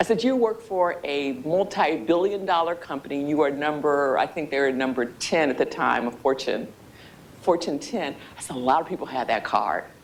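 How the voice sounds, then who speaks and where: A woman talks at a moderate pace with a very deep, low pitch. Her intonation is lively. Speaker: speaker at a workshop on communication skills. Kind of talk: workshop talk to a live audience.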